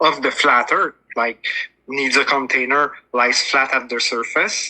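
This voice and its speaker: A man with a strong French Canadian accent talks at a fairly slow pace. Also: medium pitch for a man, fairly even intonation. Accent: big French Canadian. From Quebec, Montreal. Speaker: flat earth debater. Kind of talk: debate. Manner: halting, searching for words.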